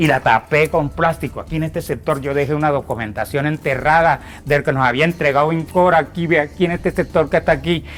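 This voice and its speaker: Talking at a very fast pace with hardly any pauses, a man with a fairly high pitch keeps his intonation fairly even. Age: 60s. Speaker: land rights activist, displaced farmer. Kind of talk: testimony.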